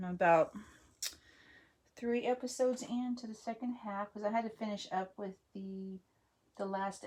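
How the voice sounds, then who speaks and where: Relaxed and somewhat breathy, a woman speaks at a moderate pace with fairly even intonation and long, frequent pauses. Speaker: craft hobby vlogger. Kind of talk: casual craft-along chat. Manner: mumbling to herself at times; relaxed, hesitant with fillers.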